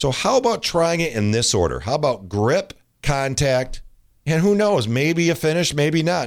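Over a very clean recording with a silent background, a man talks at a moderate pace. He has an unremarkable speaking voice and lively intonation. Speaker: tennis coach and podcast host. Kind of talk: scripted-style pitch with carnival barker patter.

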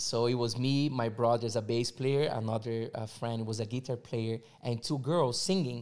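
This speaker, in a Portuguese accent, keeps a moderate pace with hardly any pauses and fairly even intonation. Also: man, medium pitch for a man. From Brazil, São Paulo. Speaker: visual artist. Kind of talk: casual chat.

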